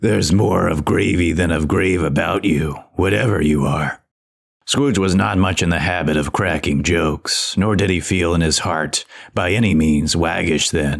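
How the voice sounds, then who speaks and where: A man's put-on character voice, very deep and low, at a moderate pace. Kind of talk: audiobook reading of classic literature.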